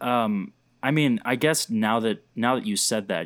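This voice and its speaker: A man talks in a normal speaking voice at a medium pitch, with ordinary pitch variation. The sound is dry and close, with no echo. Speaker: podcast interviewer. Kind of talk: interview.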